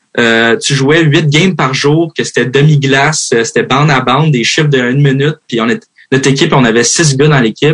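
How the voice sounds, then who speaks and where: A man with a plain, everyday voice talks at a fairly quick pace, with fairly high pitch, ordinary pitch variation and very even loudness. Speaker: hockey player. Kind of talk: interview. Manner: casual, many fillers.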